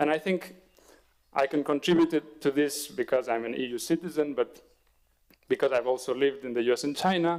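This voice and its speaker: Speaking at a fairly quick pace, a man with a fairly high pitch shows ordinary pitch variation. His speech has long, frequent pauses. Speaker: economist, panelist. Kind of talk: academic panel talk. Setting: panel with audience at summer course. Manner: halting, with fillers and repetitions.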